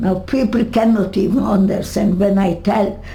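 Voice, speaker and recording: A woman speaks over noticeable background noise. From Hungary. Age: 80s+. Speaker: Holocaust survivor. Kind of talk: interview answer. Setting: home.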